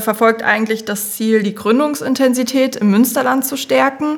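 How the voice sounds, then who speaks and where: Amid noticeable background noise, a woman with a fairly high pitch speaks at a moderate pace. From Thuringia, Germany. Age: 20s. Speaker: project manager, former PR worker. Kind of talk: casual podcast chat.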